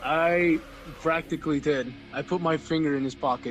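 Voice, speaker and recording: A man talks at a fairly high pitch. Background music accompanies him. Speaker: metal musician and artist. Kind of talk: casual podcast chat. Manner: loud, excitable.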